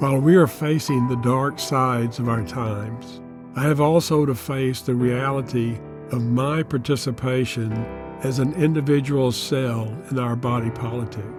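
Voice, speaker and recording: A man speaks at a moderate pace and a medium pitch. His pitch varies in an ordinary way, and music plays in the background. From United States. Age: 80s+. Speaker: Jungian analyst and author. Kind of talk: reflective reading from own memoir.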